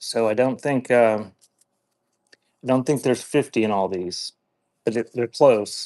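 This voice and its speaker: With a Pennsylvania accent, a man speaks fairly slowly in a medium pitch and a dark, mellow tone, with fairly even intonation. Long, frequent pauses break his speech, and the sound is dry and close with no echo. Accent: Pennsylvania American. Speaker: online antiques seller. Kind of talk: live auction stream. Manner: says she has a speech impediment, mispronounces words.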